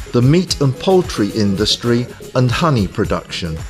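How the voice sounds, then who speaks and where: With music in the background, a man of medium pitch speaks at a very slow pace, his pitch swinging very widely. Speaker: voice actor. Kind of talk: corporate narration.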